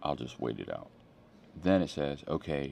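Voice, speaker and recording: This man's voice is very deep and low, with vocal fry. He speaks with an American accent. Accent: East Coast accent comes out in New York. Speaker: pastor. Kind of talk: casual sermon. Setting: airport. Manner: casual, conversational.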